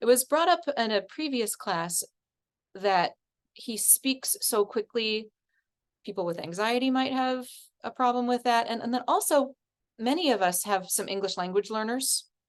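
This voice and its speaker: A woman speaks with a fairly high pitch and lively intonation. Her delivery has long, frequent pauses. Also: quiet background. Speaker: music teacher and course instructor. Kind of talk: online class lecture. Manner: fast; energetic.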